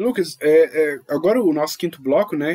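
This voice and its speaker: The recording is dry and close with no echo. A man speaks in a dark, mellow tone with lively intonation. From Brazil. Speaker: podcast host. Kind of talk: casual podcast discussion.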